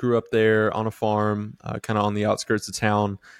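A man talks at a moderate pace with a medium pitch. The background is quiet. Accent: American. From North Central Florida. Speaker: ministry leader and author. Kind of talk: casual interview. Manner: animated.

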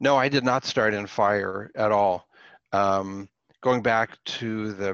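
A man speaks with a fairly low pitch. The sound is dry and close with no echo, and the background is quiet. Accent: American. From Pittsburgh, US. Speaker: professor. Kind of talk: interview.

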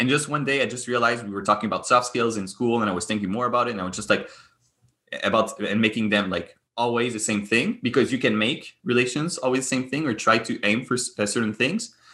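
Over a quiet background, a man with a Quebec accent and medium pitch talks at a very fast pace in a bright, sharp tone with ordinary pitch variation. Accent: Québécois French-accented English. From Quebec, Montreal. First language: French. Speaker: gaming and esports entrepreneur. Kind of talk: interview conversation. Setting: remote call. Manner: animated, laughs often; hesitant, many fillers and repetitions.

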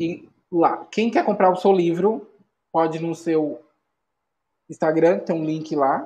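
Pausing long and often, a man with a high pitch and a dark, mellow tone speaks at a very slow pace. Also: ordinary pitch variation. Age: 30s. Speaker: podcast host. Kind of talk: casual interview. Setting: live stream.

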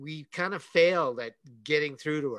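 In a plain, everyday voice, a man with fairly high pitch speaks at a moderate pace with ordinary pitch variation. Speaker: podcast host. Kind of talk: casual chat.

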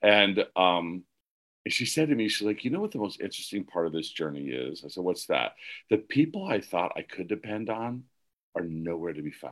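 Lively in intonation, a man with an American accent talks at a moderate pace and a fairly low pitch. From Pennsylvania. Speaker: casting director and life coach. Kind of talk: interview.

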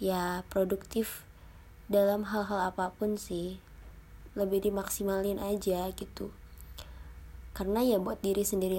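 A woman with a medium-pitched voice speaks at a fairly slow pace. Her tone is dark and mellow, and her intonation is monotone and flat. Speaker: university student podcaster. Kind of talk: casual monologue. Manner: halting.

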